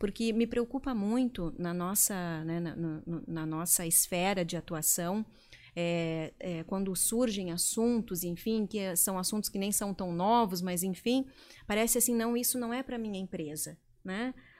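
A normal speaking voice moves at a fairly slow pace. Its pitch variation is ordinary. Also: woman, medium pitch for a woman. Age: 40s. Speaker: leadership consultant. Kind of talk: interview. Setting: studio.

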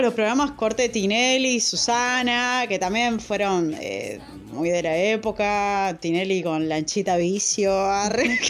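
A woman with a Rioplatense accent, fairly high pitch, lively intonation and hardly any pauses, over music in the background. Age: 30s. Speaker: podcast co-host. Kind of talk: casual chat.

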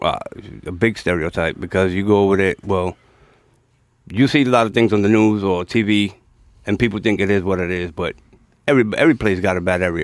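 A man's fairly low voice with a New York accent, fairly quick in pace, with ordinary pitch variation and long, frequent pauses. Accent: New York accent, unchanged. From New York (Bronx). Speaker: podcast guest. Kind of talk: casual chat.

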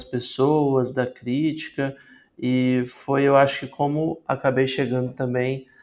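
A man speaks at a medium pitch. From Espírito Santo, Brazil (Vitória). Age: 20s. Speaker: singer-songwriter. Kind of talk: interview.

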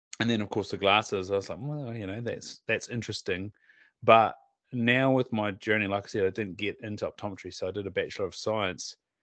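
Against a quiet background, a man with a fairly low pitch talks at a fairly quick pace, his intonation fairly even. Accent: Southland New Zealand. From southern New Zealand. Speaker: optometrist and podcast host. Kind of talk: casual chat.

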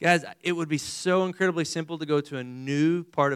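A man with a West Texas accent and an energetic tone, in a very clean recording with a silent background. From Texas, Amarillo. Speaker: missionary preacher. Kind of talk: evangelical sermon to a college audience, call-and-response questions to the crowd. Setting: stage with audience. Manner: energetic, conversational preaching with rapid rhetorical questions.

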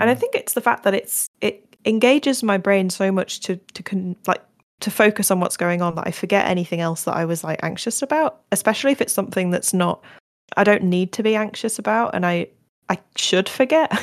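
With ordinary pitch variation and a fairly quick pace, this is a normal speaking voice. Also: woman, medium pitch for a woman. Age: 20s. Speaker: podcast host. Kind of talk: casual chat.

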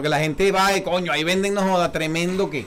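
A man's high voice with ordinary pitch variation, against noticeable background noise. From eastern Venezuela, Puerto La Cruz. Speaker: podcast host. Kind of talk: casual chat. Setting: studio. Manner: animated.

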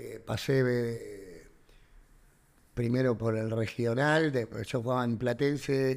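At a very slow pace, a man speaks in a Rioplatense accent. His voice is medium-pitched, with fairly even intonation. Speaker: professional wrestler and actor. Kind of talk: interview.

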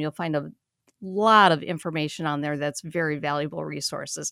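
A woman with a plain, everyday voice speaks fairly quickly at a fairly low pitch, in a very clean recording with a silent background and a dry, close sound with no echo. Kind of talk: radio host patter.

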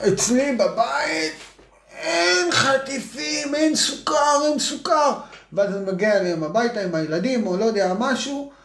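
With noticeable background noise and audible room echo, a man speaks at an extremely high pitch, with very wide pitch swings and a fairly slow pace. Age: 40s. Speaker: parenting podcast co-host, former athlete. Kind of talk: casual chat.

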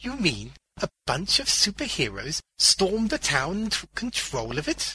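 A put-on character voice moves at a fairly slow pace with very wide pitch swings and a bright, sharp tone over a husky, rough edge. The sound is dry and close, with no echo. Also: man, high pitch for a man.

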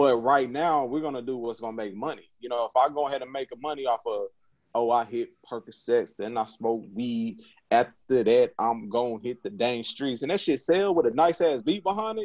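A man at a medium pitch, with lively intonation and a moderate pace. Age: 30s. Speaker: podcast co-host. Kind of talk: casual chat. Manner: animated.

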